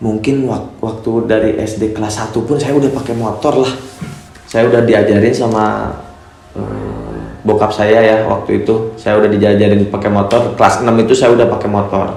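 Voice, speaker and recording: A man speaks at a moderate pace in a fairly low, monotone, flat voice. Audible room echo and noticeable background noise surround him. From Cianjur, West Java, Indonesia. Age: 20s. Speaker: motorbike racer and YouTuber. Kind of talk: casual Q&A vlog. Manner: hesitant, many fillers.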